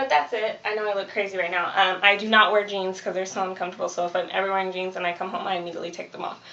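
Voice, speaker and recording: A woman talks at a very fast pace with hardly any pauses and fairly even intonation. Noticeable background noise runs underneath. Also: medium pitch for a woman. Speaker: vlogger. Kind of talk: casual vlog.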